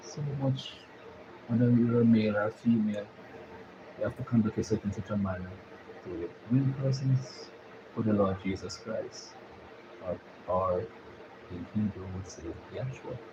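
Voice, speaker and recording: A man with a Jamaican accent at a moderate pace, with long, frequent pauses, big swings in loudness and ordinary pitch variation. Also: medium pitch for a man. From Jamaica, Kingston. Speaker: YouTube live streamer. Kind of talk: live stream chat. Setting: live stream.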